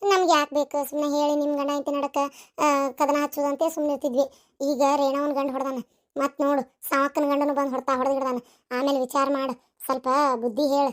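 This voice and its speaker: In a cartoonish character voice, a woman speaks high-pitched and monotone with flat intonation at a moderate pace in a dry, close sound with no echo. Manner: talkative, scolding.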